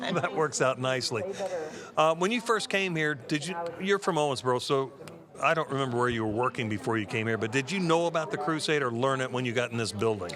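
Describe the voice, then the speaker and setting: Music plays in the background as a man talks very fast. His medium-pitched voice has lively intonation. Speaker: TV telethon host. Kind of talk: casual chat.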